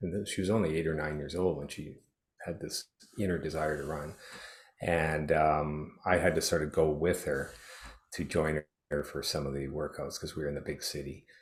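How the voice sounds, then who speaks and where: Somewhat breathy and very deep, low in pitch, a man speaks at a moderate pace with fairly even intonation. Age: 60s. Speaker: retired teacher and triathlete. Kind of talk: interview. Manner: halting, many fillers.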